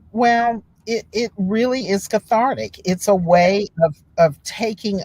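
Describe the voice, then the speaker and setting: A woman speaks very slowly in a somewhat breathy voice with lively intonation. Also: dry, close sound with no echo. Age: 60s. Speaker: writer and poet. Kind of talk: interview conversation.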